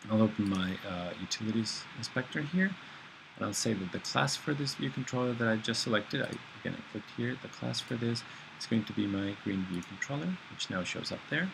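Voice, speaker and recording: A man at medium pitch with lively intonation and a fairly quick pace, amid noticeable background noise. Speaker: programming instructor. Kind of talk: screencast tutorial. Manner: fast; halting, many fillers.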